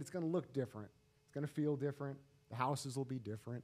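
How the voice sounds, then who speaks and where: A man speaks with an American accent and a dark, mellow tone. His pitch variation is ordinary. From Arizona. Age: 30s. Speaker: seminar speaker, property investor and business lecturer; speaker. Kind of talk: seminar talk; seminar talk, personal story. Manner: halting, repeats words. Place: meeting room. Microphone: studio mic.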